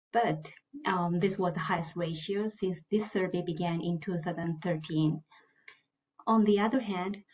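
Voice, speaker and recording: A woman with a Japanese accent speaks at a fairly slow pace in a somewhat breathy voice, with ordinary pitch variation. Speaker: finance manager; panelist. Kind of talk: panel discussion. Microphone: video call.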